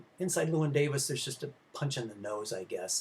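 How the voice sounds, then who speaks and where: His voice somewhat breathy and fairly high, a man delivers his words fairly quickly. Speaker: film history professor. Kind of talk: lecture. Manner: halting, many fillers.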